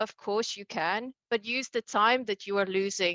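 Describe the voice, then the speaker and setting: Recorded dry and close with no echo against a quiet background, a woman's fairly high voice has a bright, sharp tone and fairly even intonation. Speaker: award-winning program participant. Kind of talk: award acceptance speech. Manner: fast.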